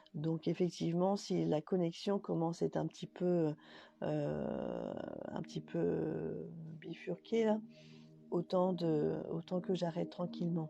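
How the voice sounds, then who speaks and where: Speaking at a very slow pace, the woman leaves long, frequent pauses while music plays in the background. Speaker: spiritual medium. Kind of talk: live stream channeling messages. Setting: live video stream. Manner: halting. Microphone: connection dropping out.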